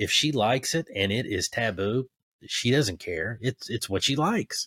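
A man with a normal speaking voice at a medium pitch talks at a moderate pace with lively intonation, in a dry, close, very clean recording with no echo and a silent background. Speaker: podcast host. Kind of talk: casual chat.

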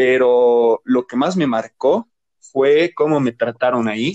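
A man with a plain, everyday voice talks at a medium pitch with fairly even intonation, the sound dry and close with no echo. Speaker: podcast co-host. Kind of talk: casual chat.

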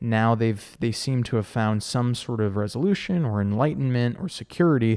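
In a very clean recording with a silent background, a man speaks at a moderate pace at medium pitch, with ordinary pitch variation. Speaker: podcast host. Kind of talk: casual interview. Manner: talkative.

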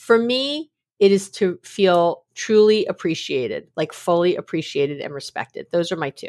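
A woman's normal speaking voice, lively in intonation and at a moderate pace, with a dry, close sound with no echo on a very clean recording with a silent background. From New York City. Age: 50s. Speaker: psychologist. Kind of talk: casual interview.

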